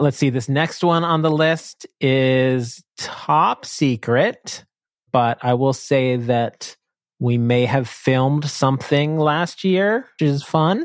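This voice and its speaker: Very slow speech in a very clean recording with a silent background. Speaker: guest, software company team member. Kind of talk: casual interview chat.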